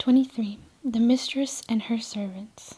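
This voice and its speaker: Whispering at a moderate pace, a woman is soft-spoken. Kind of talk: soft spoken reading of short stories, ASMR. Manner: soft, whispery, relaxing.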